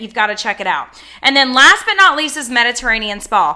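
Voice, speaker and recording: In a raised, projected voice, a woman speaks at a high pitch with a bright, sharp, animated tone and lively intonation. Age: 30s. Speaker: small business owner reviewing fragrance products. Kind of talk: casual product review vlog. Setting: home office.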